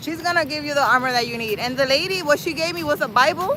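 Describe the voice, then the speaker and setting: Over noticeable background noise, a woman speaks at a high pitch in a raised, projected voice, with an animated tone and lively intonation. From New York City. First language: not English. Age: 40s. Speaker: spiritual livestreamer. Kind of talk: casual livestream chat. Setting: outdoors.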